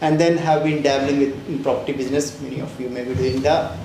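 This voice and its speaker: Talking at a fairly quick pace, a man uses a fairly high pitch and fairly even intonation. Room echo is audible, and background noise is noticeable. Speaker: fintech founder and CEO. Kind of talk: panel interview. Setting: stage with live audience. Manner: loud; halting, many fillers. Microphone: mic problems at start.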